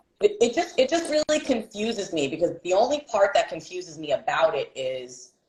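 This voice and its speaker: Delivered at a moderate pace, this voice has an American accent, very wide pitch swings and vocal fry. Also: woman. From New York City (Bronx, Brooklyn). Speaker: podcast co-host. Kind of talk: casual chat. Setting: livestream.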